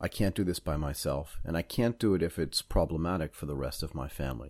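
With an American accent and vocal fry, a man speaks at a moderate pace with lively intonation on a very clean recording with a silent background. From Boston, US Northeast. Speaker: podcast host. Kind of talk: casual interview.

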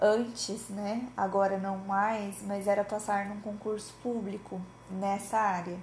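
A woman's medium-pitched, somewhat breathy voice at a very slow pace, with audible room echo. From Brazil, interior of Paraná. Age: 20s. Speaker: psychologist and podcast host. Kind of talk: casual solo podcast monologue.

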